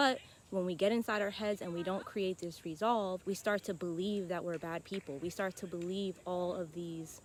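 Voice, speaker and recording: A woman with an ordinary speaking voice talks at medium pitch and a moderate pace, with fairly even intonation. She leaves hardly any pauses. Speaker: self-help vlogger. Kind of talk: casual monologue.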